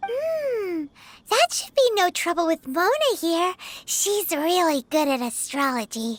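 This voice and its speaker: This is a squeaky, put-on character voice at an extremely high pitch. It moves at a fairly slow pace with very wide pitch swings. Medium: machinima. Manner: blunt, practical.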